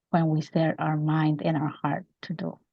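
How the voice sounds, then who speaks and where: With a Spanish accent, a woman delivers her words at a moderate speed. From Mexico. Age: 50s. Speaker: author and women's advocate. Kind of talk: interview.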